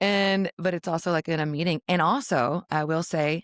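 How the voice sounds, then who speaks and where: Captured in a very clean recording with a silent background, a woman's fairly low voice shows ordinary pitch variation. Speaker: author and spiritual seeker. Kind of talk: casual podcast conversation. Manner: casual, halting with fillers.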